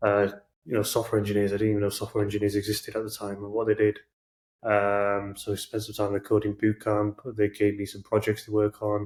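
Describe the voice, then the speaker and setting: With a Manchester accent, a man speaks very fast in a fairly low, monotone, flat voice on a very clean recording with a silent background. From northern England, Manchester. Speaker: product manager. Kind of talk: podcast interview.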